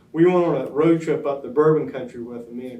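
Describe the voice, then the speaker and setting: A man with an American accent talks at a very fast pace, and audible room echo surrounds his voice. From US South. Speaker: oral history interviewee. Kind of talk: oral history interview. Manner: hesitant, many fillers.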